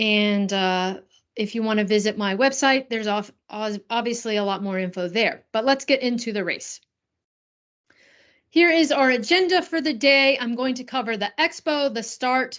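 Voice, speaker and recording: In a normal speaking voice with an American accent, a woman talks at a moderate pace with lively intonation and a fairly high pitch over a quiet background. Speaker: running coach. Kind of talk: presentation. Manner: casual, with many fillers.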